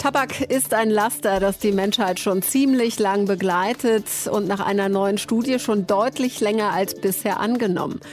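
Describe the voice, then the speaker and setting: Music plays behind a woman speaking at medium pitch with ordinary pitch variation. Her loudness stays very even and she hardly pauses. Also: moderate pace. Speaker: news presenter. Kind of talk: news reading. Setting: studio. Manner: formal; measured, even-paced.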